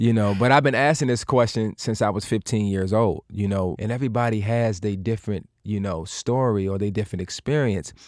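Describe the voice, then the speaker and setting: A man with a normal speaking voice and fairly low pitch talks at a fairly quick pace with hardly any pauses and ordinary pitch variation, on a very clean recording with a silent background. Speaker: actor. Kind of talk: interview. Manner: casual.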